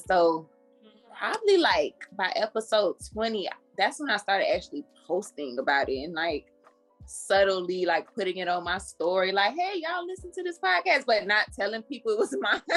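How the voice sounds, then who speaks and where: Music plays in the background as a woman talks at medium pitch. Her pace is moderate and her pitch swings very widely. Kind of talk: podcast host conversation. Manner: casual, chatty.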